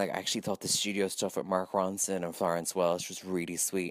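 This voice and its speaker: With an Irish accent and a very deep, low pitch, a man speaks at a very fast pace on a very clean recording with a silent background. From Ireland. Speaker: listener contributor. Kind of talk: recorded voice message review.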